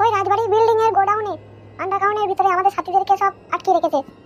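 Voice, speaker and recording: A squeaky, cartoonish character voice races along at a very fast pace. Music plays in the background. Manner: calm, reassuring.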